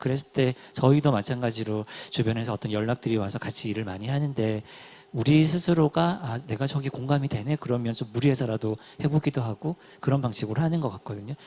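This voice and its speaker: A man's dark, mellow tone at a very fast pace. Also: medium pitch for a man, ordinary pitch variation. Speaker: nonprofit platform organizer. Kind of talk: panel discussion.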